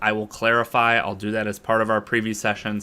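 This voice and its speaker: Loud and bright with a sharp tone, a man with an American accent talks at a fairly quick pace in a medium pitch. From US, Boston, Massachusetts. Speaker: business coach and online instructor. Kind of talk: online lecture. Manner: fast.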